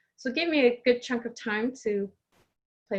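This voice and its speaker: This woman sounds somewhat breathy. She speaks with a slight Canadian accent. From Canada, Toronto. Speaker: life coach and coach trainer. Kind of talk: podcast interview.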